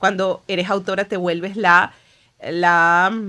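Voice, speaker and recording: Over a quiet background, a woman speaks. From Venezuela. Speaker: author and writing coach; writing coach. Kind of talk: interview conversation. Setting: studio. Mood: reflective, emotional, personal. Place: studio. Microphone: studio mic.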